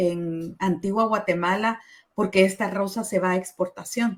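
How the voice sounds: The pace is fairly slow as a woman speaks. Her pitch shows ordinary variation.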